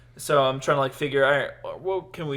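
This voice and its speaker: A man's voice with fairly even intonation. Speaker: podcast host and aspiring stand-up comedian. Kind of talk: casual chat.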